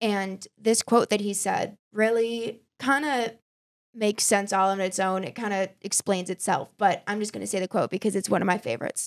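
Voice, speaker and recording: With an American accent, a plain, everyday voice moves along in fairly even intonation. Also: woman. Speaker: podcast host. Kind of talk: casual chat.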